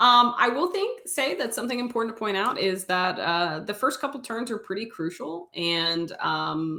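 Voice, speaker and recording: A woman speaks with a Southern US accent. Her intonation is lively. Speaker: esports caster. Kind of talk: live commentary. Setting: livestream.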